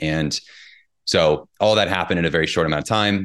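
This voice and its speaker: Over a quiet background, a man with a Midwestern American accent speaks at a fairly quick pace in a very deep, low pitch. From US Midwest, southern Indiana. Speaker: personal trainer and author. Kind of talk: casual interview.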